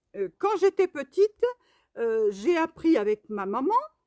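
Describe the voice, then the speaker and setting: A woman with lively intonation, on a very clean recording with a silent background and a dry, close sound free of echo. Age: 60s. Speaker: knitting vlogger. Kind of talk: casual vlog monologue. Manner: hesitant, many fillers.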